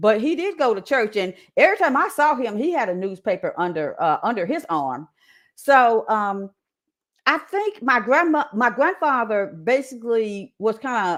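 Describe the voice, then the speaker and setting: Moving at a moderate pace, a woman speaks with a fairly high pitch and very wide pitch swings. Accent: Southern. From Indianapolis, Indiana, US Midwest. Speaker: creative writer and media specialist. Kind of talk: interview testimony. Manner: halting, with many repeats and restarts.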